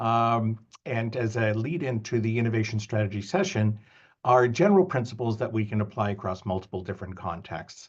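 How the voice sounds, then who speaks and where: A man with a Canadian accent talks at a fairly quick pace. His voice is somewhat breathy over a quiet background. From Canada. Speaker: business school professor. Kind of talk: lecture. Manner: halting, many fillers.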